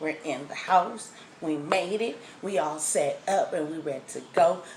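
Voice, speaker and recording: Soft-spoken and fairly low in pitch, a woman talks at a fairly slow pace with ordinary pitch variation, audible room echo and noticeable background noise. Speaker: food vlogger. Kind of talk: casual vlog. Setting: outdoors then at home.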